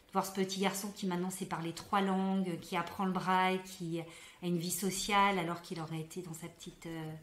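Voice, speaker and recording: A woman talks at a moderate pace in a medium pitch, her intonation flat and monotone. Background noise is noticeable. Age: young. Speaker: doctor. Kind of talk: interview answer.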